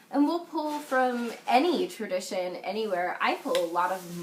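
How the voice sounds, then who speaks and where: Over noticeable background noise, a woman's fairly high voice swings very widely in pitch. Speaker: witchcraft channel host. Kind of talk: casual chat.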